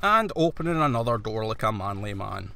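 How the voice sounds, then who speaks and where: Using very wide pitch swings, a man with a Scottish accent talks at a fairly slow pace. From Scotland. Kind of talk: video game let's play commentary. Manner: casual, conversational.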